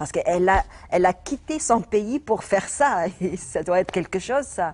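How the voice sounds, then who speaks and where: Speaking with a Tunisian accent, a woman of medium pitch talks at a moderate pace with lively intonation. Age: 40s. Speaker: comedian. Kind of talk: interview. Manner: halting, many hesitations and repetitions.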